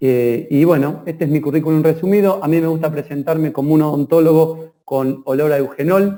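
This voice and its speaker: A man with an Argentine accent talks at a fairly quick pace, with hardly any pauses. His tone is dark and mellow, his intonation fairly even. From Argentina, Rosario. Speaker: dentist, lecturer. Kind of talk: online lecture. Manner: hesitant fillers.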